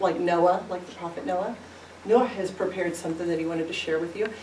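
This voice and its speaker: A woman at medium pitch with a Midwestern accent, amid noticeable background noise and audible room echo. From US Midwest, Independence, Missouri. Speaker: teacher. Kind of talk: school presentation.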